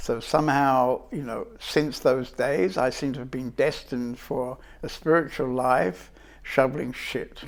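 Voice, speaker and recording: A man with a British accent talks at a fairly slow pace. His loudness swings widely. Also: medium pitch for a man, fairly even intonation. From England. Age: 70s. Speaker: spiritual teacher. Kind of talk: life story interview. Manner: reflective, hesitant.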